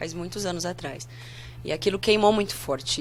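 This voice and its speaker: A woman talks at a fairly quick pace in a fairly low pitch. Music plays in the background. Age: 30s. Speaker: pastor. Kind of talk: casual interview.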